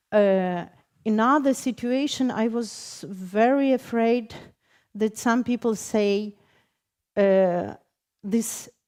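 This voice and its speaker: With a Ukrainian accent, a woman speaks at a very slow pace in a fairly high pitch, leaving long, frequent pauses. The recording is very clean, with a silent background. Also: ordinary pitch variation. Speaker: poet. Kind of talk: panel discussion. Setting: stage with audience. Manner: halting.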